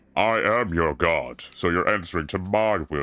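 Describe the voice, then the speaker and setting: Putting on a character voice, a man speaks at a moderate pace in a very deep, low pitch, in a very clean recording with a silent background. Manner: commanding, imposing.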